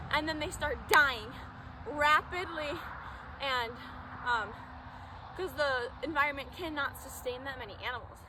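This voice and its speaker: A woman with a high pitch speaks at a fairly slow pace in a raised, projected voice, with ordinary pitch variation, big swings in loudness, long and frequent pauses, and audible room echo. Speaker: fitness vlogger. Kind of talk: casual vlog talk during outdoor workout. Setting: outdoors. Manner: animated.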